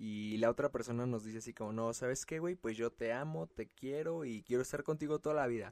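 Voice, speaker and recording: Heard on a very clean recording with a silent background and a dry, close sound with no echo, a man uses an unremarkable speaking voice at medium pitch, with ordinary pitch variation and a moderate pace. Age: 20s. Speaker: podcast host. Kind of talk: personal monologue. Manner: casual, slangy.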